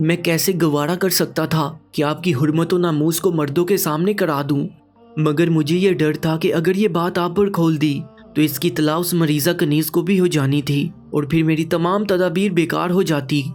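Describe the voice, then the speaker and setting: Over music in the background, a man with a high pitch speaks in fairly even intonation at very even loudness. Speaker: narrator. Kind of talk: moral story narration.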